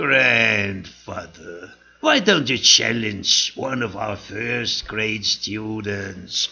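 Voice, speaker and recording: A man uses a put-on character voice at a medium pitch. He talks at a very slow pace with hardly any pauses. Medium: read story.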